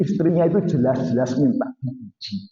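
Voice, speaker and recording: A somewhat breathy, dark and mellow voice at a fairly slow pace, with lively intonation and audible room echo. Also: man. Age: 60s. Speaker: Islamic preacher. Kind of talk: sermon. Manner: animated.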